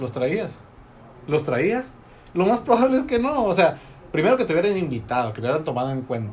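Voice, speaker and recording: Pausing often and at length, a man with a fairly high pitch swings very widely in pitch over noticeable background noise. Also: fairly quick pace. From Mexico, Tecate (Baja California). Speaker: network marketing entrepreneur, engineer. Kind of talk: casual interview chat. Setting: studio.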